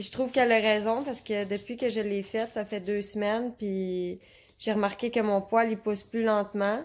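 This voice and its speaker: Speaking in a Quebec accent, the voice holds a moderate pace with monotone, flat intonation. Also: woman, fairly high pitch for a woman. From Quebec (Repentigny). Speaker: customer reviewer. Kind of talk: product testimonial. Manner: hesitant, many filler sounds. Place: home room. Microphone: phone near.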